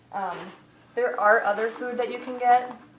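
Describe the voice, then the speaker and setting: Amid noticeable background noise and audible room echo, a woman talks at a fairly slow pace. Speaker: pet care vlogger. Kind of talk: tutorial. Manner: animated.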